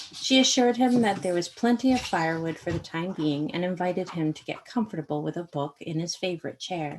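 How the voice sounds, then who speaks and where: A woman with a normal speaking voice, fairly low pitch, and an American accent, at a fairly quick pace with lively intonation and hardly any pauses. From Maine, US. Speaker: author and artist. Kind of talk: reading aloud.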